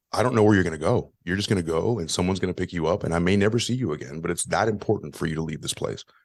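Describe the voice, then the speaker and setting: Talking very fast with hardly any pauses, a man uses a very deep, low pitch and ordinary pitch variation. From US, Cuban-American family. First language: Spanish. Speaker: podcaster. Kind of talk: interview.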